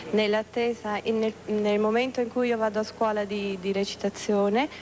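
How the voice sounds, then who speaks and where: This woman talks fairly quickly at a fairly high pitch, her intonation monotone and flat. Her loudness stays very even over noticeable background noise. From Italy. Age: 20s. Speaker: pageant contestant. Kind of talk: live interview.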